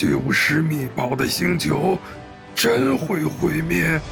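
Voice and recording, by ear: A man's put-on character voice, fairly high and fairly bright with vocal fry, at a slow pace over faint music in the background. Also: lively intonation.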